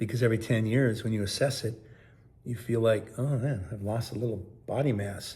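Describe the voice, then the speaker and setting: A man speaks at a moderate pace with a medium pitch, his tone dark and mellow and somewhat breathy. His intonation stays fairly even, and audible room echo surrounds the voice. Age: 60s. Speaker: sobriety vlogger. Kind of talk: casual vlog monologue.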